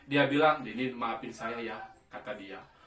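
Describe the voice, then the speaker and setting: A man with a medium pitch and fairly even intonation speaks amid noticeable background noise and audible room echo. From West Java, Sundanese. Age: 40s. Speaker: pharmaceutical sales supervisor doing amateur stand-up. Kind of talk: stand-up.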